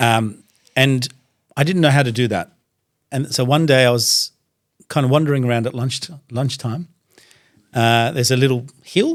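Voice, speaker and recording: An Australian-accented man speaks at a moderate pace with a medium pitch and ordinary pitch variation. Long pauses come often. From Iraq, raised in Iran, then Australia. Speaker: doctor and religious speaker, podcast guest. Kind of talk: casual interview. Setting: studio.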